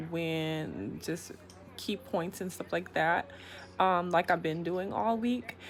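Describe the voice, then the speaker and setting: Soft-spoken, a woman talks with a fairly low pitch. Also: very clean recording, silent background. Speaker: YouTube vlogger. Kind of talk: casual vlog monologue. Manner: hesitant, many fillers.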